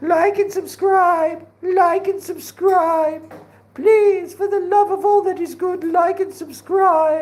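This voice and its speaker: Very slow, extremely high-pitched speech in a put-on character voice. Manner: silly.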